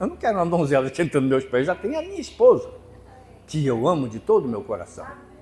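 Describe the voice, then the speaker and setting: A man's pitch swings very widely, with noticeable background noise behind him. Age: 70s. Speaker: preacher. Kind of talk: sermon.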